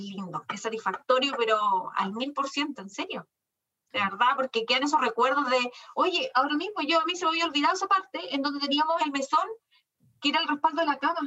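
A woman talks very fast in a raised, projected voice with a high pitch. Her tone is bright and sharp, and her intonation is lively. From Chile, Chillán. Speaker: business owner, lawyer. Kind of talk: interview.

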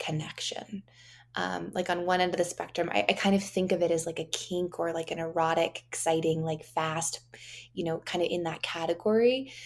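A plain, everyday voice from a woman, fairly low in pitch, with ordinary pitch variation and a moderate pace. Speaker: podcast co-host. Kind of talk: interview.

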